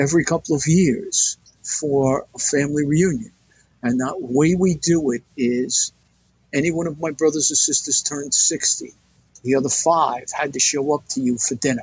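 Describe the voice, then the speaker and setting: Somewhat breathy, a man speaks at a fairly high pitch with ordinary pitch variation and a moderate pace. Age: 70s. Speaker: retired fire captain. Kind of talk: interview.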